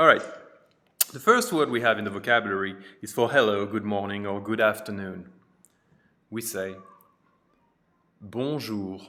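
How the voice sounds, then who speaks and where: With a French accent and a bright, sharp tone, a man speaks with big swings in loudness, ordinary pitch variation and long, frequent pauses. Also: moderate pace. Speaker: French teacher. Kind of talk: tutorial.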